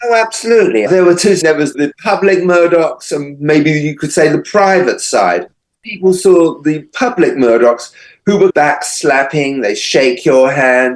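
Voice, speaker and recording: This is a man talking. He speaks with an English accent. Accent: English accent, noticeable. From England. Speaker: true crime author. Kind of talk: interview.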